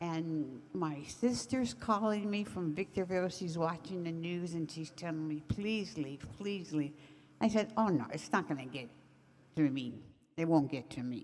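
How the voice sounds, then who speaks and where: A woman with an American accent has a normal speaking voice, fairly low in pitch with lively intonation. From California, Altadena. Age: 60s. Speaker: community organizer and fire survivor. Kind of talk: testimony.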